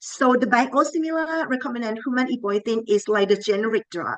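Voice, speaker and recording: The speaker has a Thai accent. The intonation is lively. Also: woman. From Thailand. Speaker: pharmacy professor. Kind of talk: lecture. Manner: halting.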